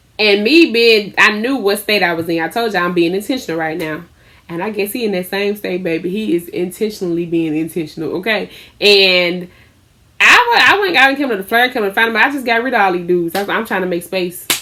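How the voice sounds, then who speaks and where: Loud and animated, a woman speaks in a bright, sharp tone with ordinary pitch variation. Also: medium pitch for a woman, fairly quick pace. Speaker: lifestyle vlogger and small business owner. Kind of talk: casual storytelling vlog.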